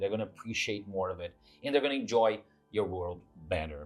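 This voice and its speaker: The man's pitch is fairly low, his pace moderate. There is music in the background. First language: not English. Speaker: tabletop RPG YouTuber. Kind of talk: casual monologue to camera. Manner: hesitant, with filler words.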